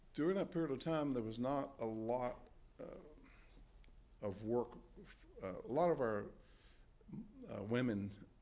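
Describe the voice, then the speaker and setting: The speaker talks in an eastern North Carolina accent. Pitch varies in an ordinary way. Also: man. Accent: Southern US, eastern North Carolina. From Halifax County, North Carolina. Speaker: Army veteran. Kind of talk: oral history interview answer.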